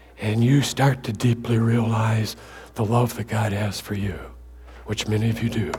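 A somewhat breathy man speaks fairly slowly in an American accent with fairly even intonation. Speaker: guest preacher. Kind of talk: sermon. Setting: church with congregation.

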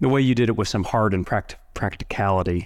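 On a very clean recording with a silent background, a man with an unremarkable speaking voice talks at a fairly quick pace with ordinary pitch variation. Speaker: podcast host and prison volunteer. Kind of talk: interview, casual conversation. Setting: in-person recording.

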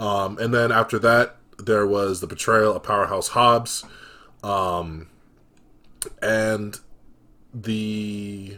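With a bright, sharp tone and fairly low pitch, a man speaks in a monotone, flat intonation at a very slow pace, leaving long, frequent pauses. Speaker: podcast host. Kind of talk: casual chat. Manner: casual, laid-back.

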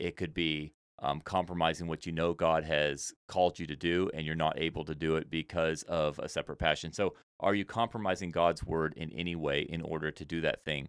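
On a very clean recording with a silent background and a dry, close sound with no echo, a speaker with an American accent talks at a fairly quick pace with fairly even intonation. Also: man, very deep, low pitch for a man. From Senegal, West Africa (American missionary family). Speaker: missionary and Bible teacher. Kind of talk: interview conversation.

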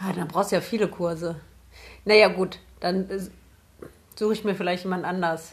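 A woman speaks at a moderate pace and medium pitch, somewhat breathy and monotone, with long, frequent pauses. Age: 20s. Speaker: podcast co-host. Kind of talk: casual chat.

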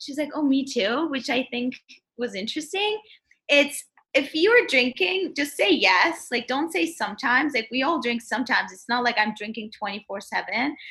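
Projecting her voice at a raised level, a woman speaks high and with a bright, sharp tone, lively intonation and a moderate pace. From Turkey. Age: 20s. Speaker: social media worker. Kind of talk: casual chat. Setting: video call.

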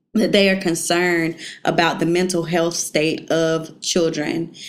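A woman speaks with a Southern US accent at a fairly slow pace, her pitch fairly low. Her intonation stays fairly even, and there is audible room echo. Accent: Southern US, says y'all. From South Carolina, Beech Island. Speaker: teacher working in Congress on education policy. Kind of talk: casual interview.

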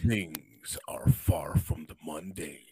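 A man puts on a character voice. It sits at a very deep, low pitch. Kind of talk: dramatic trailer announcer.

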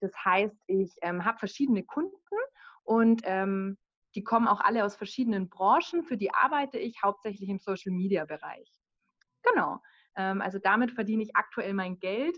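Pausing long and often, a woman talks at a moderate pace with lively intonation. Her fairly high voice shows big swings in loudness. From Bavaria, village near Munich. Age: 30s. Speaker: virtual assistant. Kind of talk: casual interview.

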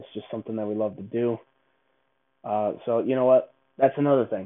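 This is a man with an ordinary speaking voice and a medium pitch. He talks at a fairly quick pace. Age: 20s. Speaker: basketball podcast host. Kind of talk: casual solo monologue.

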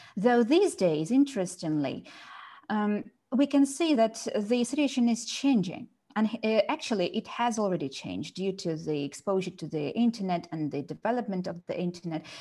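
A woman's somewhat breathy voice has a dark, mellow tone and very wide pitch swings. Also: medium pitch for a woman, moderate pace. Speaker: teacher and podcast host. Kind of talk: casual discussion.

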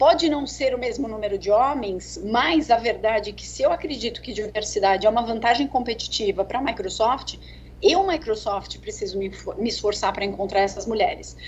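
A woman speaks at a fairly quick pace with big swings in loudness. Noticeable background noise sits behind her. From Brazil, São Paulo. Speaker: tech sales executive. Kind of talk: interview. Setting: video call.

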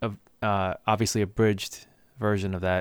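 A man with an American accent at a moderate pace, very clean recording with a silent background. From Boston area, US. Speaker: podcast host, IT worker. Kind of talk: casual chat.

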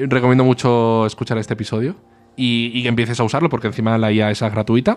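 A man's medium pitch in a monotone, flat intonation at a very fast pace, over a quiet background. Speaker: podcast co-host. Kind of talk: casual chat.

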